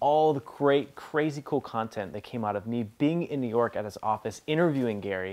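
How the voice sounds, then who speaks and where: With an unremarkable speaking voice, a man talks at medium pitch and a moderate pace with ordinary pitch variation over a quiet background. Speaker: business coach. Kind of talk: casual talk to camera. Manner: upbeat.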